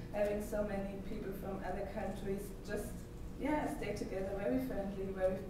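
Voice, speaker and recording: A woman talks over noticeable background noise in a room with strong echo. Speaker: speaker. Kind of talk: conference talk, speaking freely. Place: hall. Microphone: camera far.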